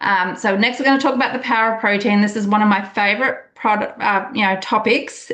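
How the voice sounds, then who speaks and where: There is noticeable background noise and audible room echo. A woman speaks at a moderate pace. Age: 50s. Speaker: wellness coach. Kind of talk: online group call presentation. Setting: group call. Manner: enthusiastic.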